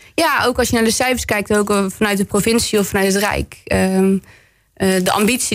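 A woman with a normal speaking voice talks at a medium pitch and moderate pace, with ordinary pitch variation and very even loudness. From West Brabant, Netherlands (Bergen op Zoom). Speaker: municipal councillor. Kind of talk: radio interview. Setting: radio studio.

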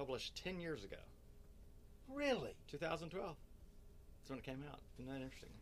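A man with vocal fry and a fairly high pitch talks at a fairly quick pace with lively intonation and long, frequent pauses. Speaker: pastor. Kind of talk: casual chat. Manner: fast.

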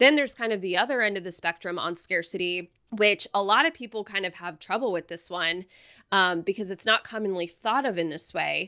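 A woman's bright, sharp voice at medium pitch in an American accent, fairly quick, with ordinary pitch variation, on a very clean recording with a silent background and a dry, close sound with no echo. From Texas, Dallas suburbs. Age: 30s. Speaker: personal finance blogger. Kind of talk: podcast interview.

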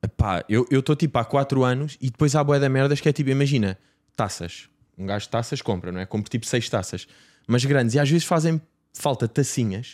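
The sound is dry and close, with no echo. The speaker goes at a fairly quick pace with ordinary pitch variation. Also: man, medium pitch for a man. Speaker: podcast host, comedian. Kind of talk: casual chat. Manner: animated.

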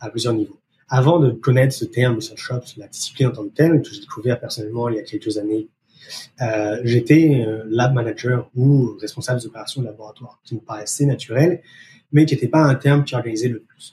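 In a somewhat breathy, dark, mellow tone, a man speaks at a fairly quick pace and medium pitch, with ordinary pitch variation and big swings in loudness. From France. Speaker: research operations manager. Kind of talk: interview.

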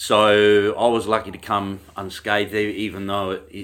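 In an Australian accent, a man with a fairly low pitch talks in a monotone, flat intonation. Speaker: martial arts coach. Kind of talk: casual interview. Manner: loud; halting.

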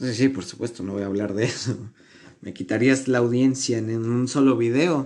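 Ordinary pitch variation from a man, delivered at a moderate pace. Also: medium pitch for a man. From Mexico. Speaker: podcast host. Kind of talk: casual chat. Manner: animated.

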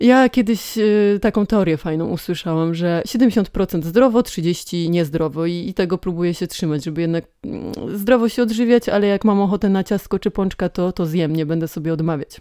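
Dark and mellow in tone, a woman's medium-pitched voice moves at a moderate pace with ordinary pitch variation, captured on a very clean recording with a silent background and a dry, close sound with no echo. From Poland, Toruń. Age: 20s. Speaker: fashion model. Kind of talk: casual interview chat.

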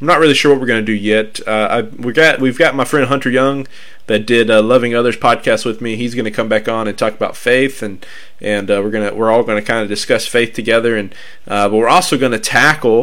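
Against noticeable background noise, a man at medium pitch talks at a fairly quick pace with fairly even intonation. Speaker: ministry podcast host. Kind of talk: casual chat. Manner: halting.

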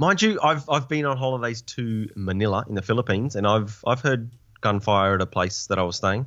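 At a fairly quick pace, a medium-pitched man talks in an Australian accent. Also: ordinary pitch variation. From Tasmania, Australia. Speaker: vlogger. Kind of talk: casual chat.

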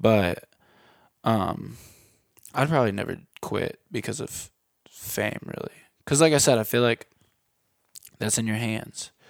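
Someone with an American accent talks at a fairly slow pace with ordinary pitch variation and long, frequent pauses. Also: man, medium pitch for a man. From Missouri, US Midwest. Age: 20s. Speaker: rapper. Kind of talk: casual chat.

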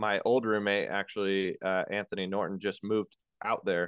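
With an American accent, a man speaks at a moderate pace in a monotone, flat intonation. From Colorado. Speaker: motorcycle rider coach. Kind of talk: casual chat. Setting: video call.

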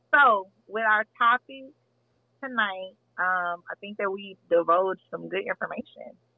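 A woman speaks at a fairly slow pace in a medium pitch with ordinary pitch variation and big swings in loudness. It is an ordinary speaking voice. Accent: American. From Texas. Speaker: podcast host. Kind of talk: casual chat.

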